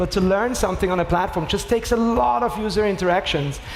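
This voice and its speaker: There is noticeable background noise as a man speaks at a very fast pace. He has a high voice and an Austrian accent. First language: German. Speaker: start-up co-founder and CEO. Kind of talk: panel discussion.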